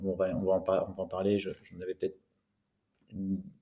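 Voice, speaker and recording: A man's dark, mellow tone comes at a fairly low pitch and a moderate pace. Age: 30s. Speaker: growth hacking trainer, solo entrepreneur. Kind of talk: podcast interview. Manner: hesitant, many fillers.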